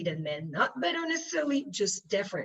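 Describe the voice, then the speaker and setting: Here a woman speaks with a French accent. Her pitch sits in the medium range. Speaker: panelist, UN official. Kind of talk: panel discussion. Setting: conference panel. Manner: halting, many fillers.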